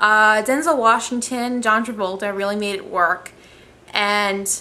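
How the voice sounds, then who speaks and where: Mumbling at a fairly slow pace, a woman with a fairly high pitch and a bright, sharp tone keeps a fairly even intonation. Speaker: amateur movie reviewer vlogger. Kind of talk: casual vlog review. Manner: hesitant, many filler ums.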